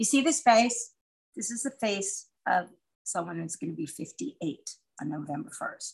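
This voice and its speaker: A woman's fairly high voice with vocal fry, at a fairly slow pace, with very wide pitch swings and big swings in loudness. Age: 60s. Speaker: podcast co-host. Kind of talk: casual chat. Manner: animated.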